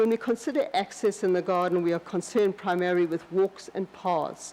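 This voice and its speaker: A woman speaks in a South African accent. Her pace is moderate. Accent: South African accent, noticeable. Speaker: landscape designer. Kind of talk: lecture. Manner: halting, many restarts.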